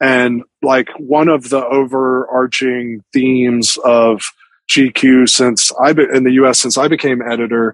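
This man has a plain, everyday voice at a medium pitch. His intonation stays fairly even. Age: 40s. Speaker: magazine editor. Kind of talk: casual interview. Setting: video call.

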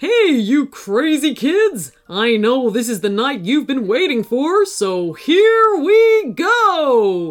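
A woman's put-on character voice, high-pitched and slow, with big pitch swings.

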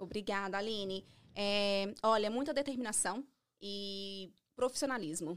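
With an ordinary speaking voice, a woman talks at a fairly slow pace, her pitch medium and its variation ordinary. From Brazil, Minas Gerais. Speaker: beauty salon owner, esthetician. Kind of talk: podcast interview.

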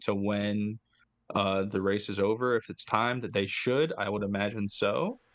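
A man speaks in an unremarkable speaking voice, fairly low in pitch. His pace is fairly slow and his intonation fairly even. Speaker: podcast co-host. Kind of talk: casual chat.

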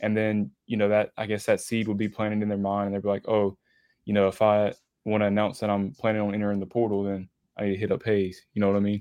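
A man talks at a very fast pace in a fairly low voice. His tone is dark and mellow, with monotone, flat intonation. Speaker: sports graphic designer. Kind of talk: interview.

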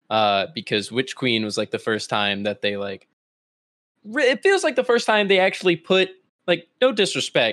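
This man's voice has a bright, sharp tone, recorded dry and close with no echo, very clean against a silent background. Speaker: content creator. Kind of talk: casual chat.

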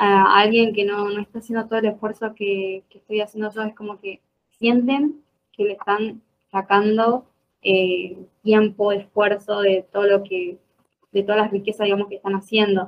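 In an Argentine accent, a woman at medium pitch speaks at a moderate pace with flat, monotone intonation and big swings in loudness. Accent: Argentine Spanish (voseo). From Argentina, Jujuy (north). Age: 20s. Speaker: law student and political activist. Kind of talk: interview conversation.

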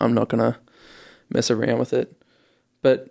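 At a moderate pace, a man with an Australian accent speaks at medium pitch with a dark, mellow tone on a very clean recording with a silent background. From Australia, Ipswich, Queensland. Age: 20s. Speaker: radio host and journalism graduate. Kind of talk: casual interview. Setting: radio studio.

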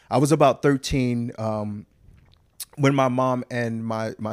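Speaking with a Southern US accent, a man of medium pitch talks at a fairly slow pace with fairly even intonation. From US South, Huntsville, Alabama. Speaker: actor. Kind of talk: casual chat.

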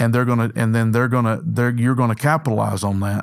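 A man with a medium pitch speaks in a Southern US accent. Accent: Southern US (Georgia). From US South, north Georgia. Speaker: former pro football player turned insurance agent. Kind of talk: interview storytelling. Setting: studio.

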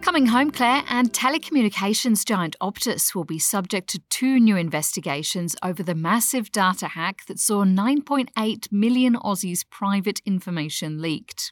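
A woman with an Australian accent speaks at a medium pitch and a moderate pace, with lively intonation and hardly any pauses. The recording is very clean with a silent background, dry and close with no echo. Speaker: news podcast co-host. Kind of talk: newsreading, a polished morning news briefing, fluent and conversational. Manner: clear, brisk and upbeat.

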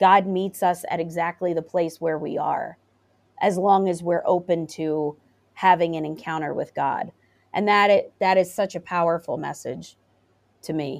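A woman's unremarkable speaking voice, fairly low in pitch, at a moderate pace with fairly even intonation and a quiet background. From US, Philadelphia area. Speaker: pastor. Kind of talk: interview conversation.

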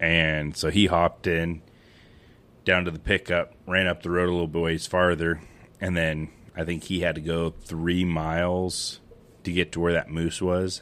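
In an American accent, a man speaks at a very deep, low pitch in a flat monotone. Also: fairly slow pace. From western Montana. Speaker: grain elevator and feed store manager, hunter. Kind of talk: casual chat. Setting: basement of a house, in person.

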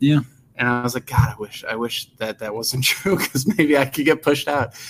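Speaking with an American accent at a fairly quick pace, a man uses a normal speaking voice of medium pitch and ordinary pitch variation. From US Midwest, Chicago suburbs. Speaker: career coach and podcast host. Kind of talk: casual interview chat.

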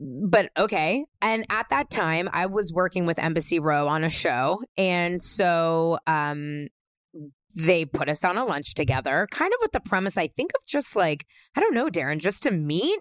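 A woman talks in a plain, everyday voice, pitched fairly low, with lively intonation at a fairly slow pace, and the sound is dry and close with no echo. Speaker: podcast host. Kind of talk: casual chat.

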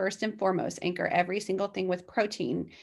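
This woman has an unremarkable speaking voice at a medium pitch. She talks at a moderate pace over a quiet background. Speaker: guest sharing her weight-loss story, mother of five. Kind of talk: casual interview, personal story.

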